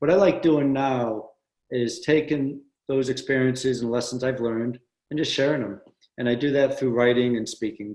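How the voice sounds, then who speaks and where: A man with a normal speaking voice talks at a moderate pace and medium pitch, with fairly even intonation. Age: 60s. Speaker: former Navy SEAL, author and adventure racer. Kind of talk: podcast interview.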